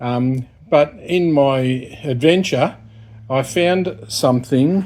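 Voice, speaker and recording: With a strong Australian accent, a man talks in a dark, mellow tone with ordinary pitch variation. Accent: broad Australian. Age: 60s. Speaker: YouTuber, retired repairman. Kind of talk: casual vlog monologue. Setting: in a shed. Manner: hesitant, many fillers.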